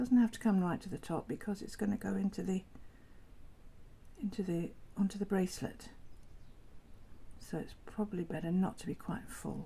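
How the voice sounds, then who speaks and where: At a moderate pace, a woman with a medium pitch and a dark, mellow tone talks through vocal fry, leaving long, frequent pauses while her loudness swings widely. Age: 70s. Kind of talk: tutorial talk to camera. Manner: chatty, enthusiastic.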